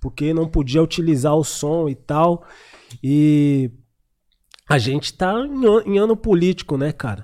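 A man with a fairly high pitch and a dark, mellow tone talks at a fairly slow pace with ordinary pitch variation and long, frequent pauses. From Zona Sul, São Paulo. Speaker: podcast host. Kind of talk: casual podcast chat.

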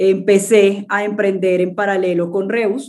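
This woman's voice has a dark, mellow tone. Her pitch is medium. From Colombia, Cartagena. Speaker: startup founder and CEO. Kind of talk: interview.

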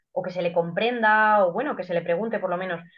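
At a medium pitch and with fairly even intonation, this woman speaks in a normal speaking voice. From Guadalajara, Spain. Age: 30s. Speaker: athlete and biologist. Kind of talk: podcast interview.

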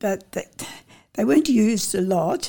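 A woman's voice with a dark, mellow tone and vocal fry. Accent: Australian. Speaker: local elder recounting childhood. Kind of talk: oral history interview.

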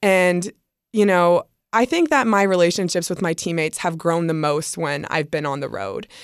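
A woman with a normal speaking voice talks at a moderate pace and fairly low pitch, with ordinary pitch variation, in a very clean recording with a silent background. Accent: American. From US South. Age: 20s. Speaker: college softball pitcher. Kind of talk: casual interview.

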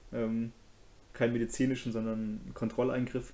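A man's medium-pitched voice, dark and mellow in tone, with monotone, flat intonation at a fairly quick pace. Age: 20s. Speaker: podcast host. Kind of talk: casual chat.

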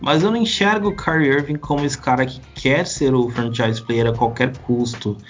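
A man's medium-pitched voice with lively intonation, a moderate pace, hardly any pauses, and noticeable background noise. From Brazil. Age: 20s. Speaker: basketball podcaster and tech worker. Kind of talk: casual interview.

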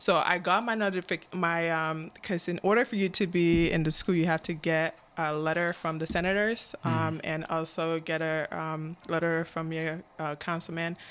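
With a Cameroonian accent, a woman speaks at a fairly low pitch and moderate pace, with fairly even intonation and hardly any pauses. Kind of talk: casual interview chat.

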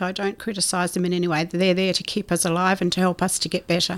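A woman talks at a very fast pace in a medium-pitched voice. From South Australia. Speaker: hospice charity chair. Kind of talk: interview. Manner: hesitant with fillers.

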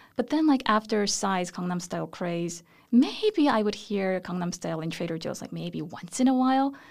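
On a very clean recording with a silent background, a woman with a Korean accent talks at a moderate pace, medium pitch and lively intonation. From South Korea. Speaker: professor of Korean studies. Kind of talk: interview. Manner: hesitant fillers.

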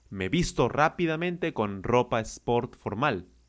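In a very clean recording with a silent background, a man speaks at a moderate pace with lively intonation. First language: Spanish. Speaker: Spanish teacher. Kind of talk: language lesson.

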